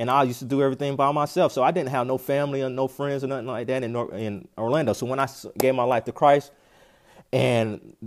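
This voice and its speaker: This man talks at a fairly quick pace in a medium pitch with an American accent and ordinary pitch variation. He has an unremarkable speaking voice, and the recording is very clean with a silent background. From North Carolina, US South. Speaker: podcast host and preacher. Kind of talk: sermon.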